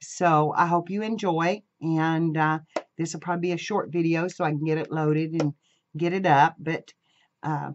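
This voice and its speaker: The speech moves at a moderate pace with light background noise. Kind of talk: casual craft tutorial chat. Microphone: camera far.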